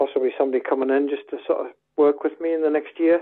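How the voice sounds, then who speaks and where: Speaking in a Scottish Borders accent, a man talks at a fairly quick pace in a fairly high pitch with monotone, flat intonation. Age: 70s. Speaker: football club secretary. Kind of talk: interview.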